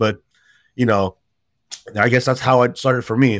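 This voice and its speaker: Recorded very cleanly against a silent background, a man with an ordinary speaking voice and an American accent talks at a fairly quick pace with ordinary pitch variation. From San Jose, California. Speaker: youth nonprofit director. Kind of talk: casual chat.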